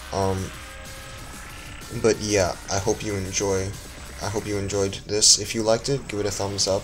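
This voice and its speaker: With music in the background, a man talks at a fairly low pitch in a monotone, flat intonation. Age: student. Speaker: music reviewer. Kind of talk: casual video review. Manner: slow; halting, many fillers.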